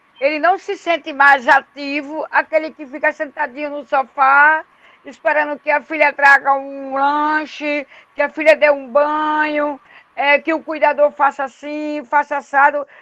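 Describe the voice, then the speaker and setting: A woman speaks in a high, raised, projected voice with a bright, sharp tone and flat, monotone intonation. Her pace is fairly slow, and the sound is dry and close with no echo. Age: 60s. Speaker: community resident. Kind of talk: online class discussion.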